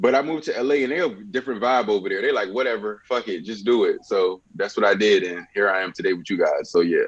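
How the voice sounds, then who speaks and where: A man with an American accent at a very fast pace, with hardly any pauses. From Richmond, Virginia. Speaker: musician and dancer. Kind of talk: casual interview.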